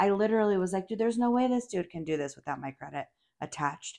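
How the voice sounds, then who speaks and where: A woman's very fast, animated delivery with lively intonation over a quiet background. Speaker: podcast host. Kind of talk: casual chat.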